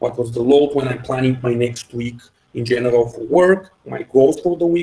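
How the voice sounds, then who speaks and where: This man speaks with a Bulgarian accent. His voice is medium in pitch with ordinary pitch variation. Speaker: head of engineering. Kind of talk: podcast interview. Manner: halting, many fillers.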